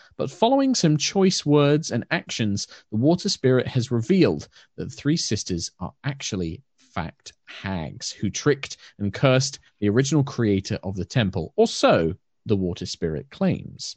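With a British accent, a man speaks at a moderate pace and medium pitch, his voice making very wide pitch swings. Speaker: dungeon master.

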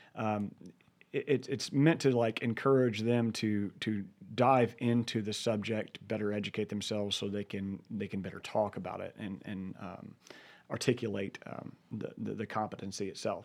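A man with an ordinary speaking voice and a fairly low pitch talks at a moderate pace with fairly even intonation on a very clean recording with a silent background. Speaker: firearms training business owner, co-host. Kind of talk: radio show co-host chat, explaining ideas. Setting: radio studio. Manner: relaxed, conversational, thoughtful.

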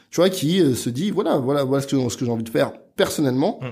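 Speaking at a very fast pace with lively intonation, a man at medium pitch is heard on a very clean recording with a silent background. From France, Neuilly near Paris. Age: 30s. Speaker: entrepreneur, agency founder. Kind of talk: casual interview chat.

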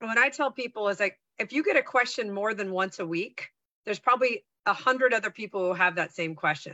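A woman with an American accent speaks at a fairly quick pace, her fairly high pitch carried by lively intonation. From US West Coast, San Francisco Bay Area. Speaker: sales trainer and speaker. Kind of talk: casual chat. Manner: animated.

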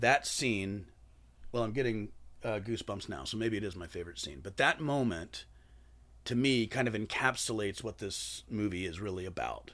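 A man talks in an ordinary speaking voice at a moderate pace, with fairly low pitch and ordinary pitch variation. The recording is very clean, with a silent background. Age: 40s. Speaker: musician and bartender. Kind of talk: casual chat.

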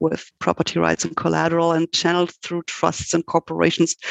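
A woman speaks with a German accent. Her pitch is fairly low. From Germany. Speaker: law professor. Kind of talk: interview.

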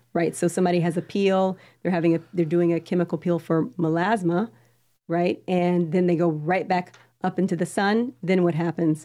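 With a dark, mellow tone, a woman at a fairly low pitch keeps very even loudness and fairly even intonation. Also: moderate pace. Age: 40s. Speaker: radio host and pharmacist. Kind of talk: radio talk show.

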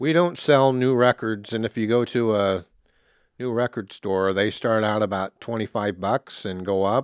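A man's fairly low voice with an American accent, a plain, everyday voice with ordinary pitch variation, in a dry, close sound with no echo on a very clean recording with a silent background. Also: moderate pace. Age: 60s. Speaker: store owner. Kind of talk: casual interview.

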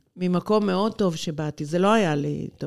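A woman with an ordinary speaking voice, fairly low in pitch, with ordinary pitch variation and a moderate pace, in a very clean recording with a silent background. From Israel, Haifa. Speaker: lawyer. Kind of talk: interview.

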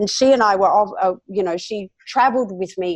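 A woman with an Australian accent talks at a fairly slow pace in a medium pitch with ordinary pitch variation. The sound is dry and close, with no echo. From South Australia. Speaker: author, speaker, health professional. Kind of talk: interview, conversational.

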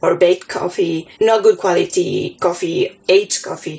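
A woman with a Spanish accent speaks at a very slow pace, her medium pitch moving with ordinary variation. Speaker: competition organizer. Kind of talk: interview testimony.

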